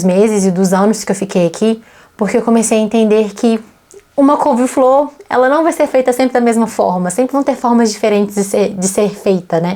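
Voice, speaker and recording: A woman speaks with a Brazilian accent. Her pitch is fairly high, with ordinary variation. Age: 20s. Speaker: vlogger and English teacher. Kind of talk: casual personal vlog monologue.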